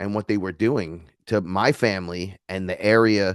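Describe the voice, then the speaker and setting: Animated in tone, a man with an American accent talks at a fairly slow pace with ordinary pitch variation over a quiet background. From New York. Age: 40s. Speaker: neo-shaman and musician. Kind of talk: casual interview chat.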